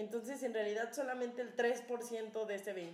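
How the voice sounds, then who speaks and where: Her pitch is fairly high for a woman. She keeps a moderate pace. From Cuernavaca, Mexico. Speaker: podcast co-host. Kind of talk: casual chat.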